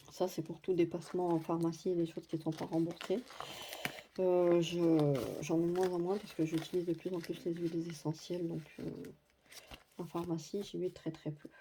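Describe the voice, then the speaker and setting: A woman with a fairly low voice speaks at a moderate pace in a flat monotone, leaving long, frequent pauses over noticeable background noise. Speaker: budgeting vlogger. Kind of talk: budget tutorial. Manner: hesitant, many fillers.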